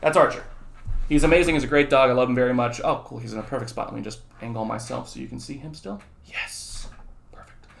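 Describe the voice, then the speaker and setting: A man talks at a very fast pace in an animated tone, with audible room echo and noticeable background noise. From southern California and Texas. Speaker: high school economics teacher. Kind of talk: lecture; casual chat. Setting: recorded video for students.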